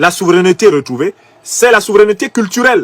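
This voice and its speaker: The sound is dry and close, with no echo. A man talks in a high pitch with a Cameroonian accent. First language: Bassa (speaking French). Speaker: political commentator. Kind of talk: political commentary. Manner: emphatic.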